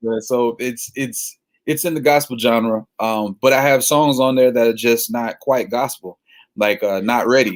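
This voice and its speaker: Using a Southern US accent, a man at a medium pitch talks at a fairly slow pace with fairly even intonation. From Florida. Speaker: gospel singer-songwriter. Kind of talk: casual interview. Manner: casual.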